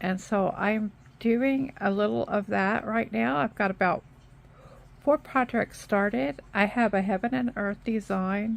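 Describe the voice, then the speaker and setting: Fairly slow speech from a woman, medium in pitch, its rise and fall ordinary. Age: 60s. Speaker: craft YouTuber. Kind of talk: casual stitch-along chat. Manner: halting, with frequent repeats and fillers.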